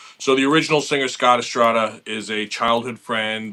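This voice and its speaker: A bright, sharp tone comes through in a voice with a New York accent. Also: man. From Long Island, New York. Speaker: metal guitarist. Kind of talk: interview. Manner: casual, with many fillers.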